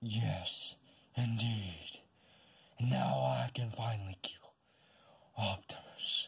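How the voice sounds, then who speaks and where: A man speaks in a put-on character voice with a fairly low pitch. His pace is very slow, broken by long, frequent pauses. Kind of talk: fan-made stop-motion voice acting. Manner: menacing, threatening.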